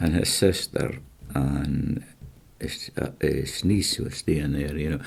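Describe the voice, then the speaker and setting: With a West Highland Scottish accent, a man talks at a fairly slow pace in a very deep, low pitch with ordinary pitch variation, over noticeable background noise. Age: 70s. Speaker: interviewee, retired fisherman. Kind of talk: casual chat.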